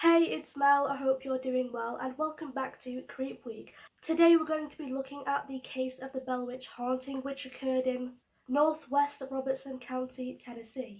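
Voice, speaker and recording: Her high pitch holds a fairly even intonation as this woman's loudness swings widely. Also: moderate pace. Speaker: youtuber. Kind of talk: casual storytelling vlog.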